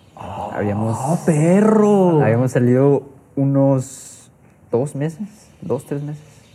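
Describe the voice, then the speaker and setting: Over noticeable background noise, a man with a medium pitch speaks at a very slow pace. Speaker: podcast host. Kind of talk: casual chat.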